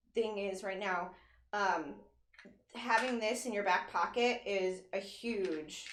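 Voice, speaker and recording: Against audible room echo, a woman talks at a fairly slow pace and a medium pitch with ordinary pitch variation. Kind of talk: casual chat.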